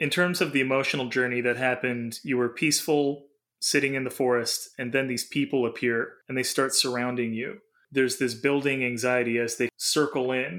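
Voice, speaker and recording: At a fairly quick pace, a man talks in a normal speaking voice with fairly even intonation. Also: medium pitch for a man. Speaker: podcast host and dream interpreter. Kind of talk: casual chat. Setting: remote call.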